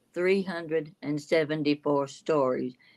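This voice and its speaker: A woman speaks here. Her pitch is very deep and low. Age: 80s+. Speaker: storyteller, elderly guest on live stream. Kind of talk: casual live-stream chat. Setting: live stream.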